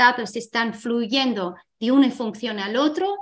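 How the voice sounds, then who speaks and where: A woman with an English accent speaks at a fairly slow pace. Her pitch is fairly high, with ordinary pitch variation. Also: very clean recording, silent background. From Ireland. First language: English (speaking Spanish). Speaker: tech company co-founder and CEO. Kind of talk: interview. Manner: halting.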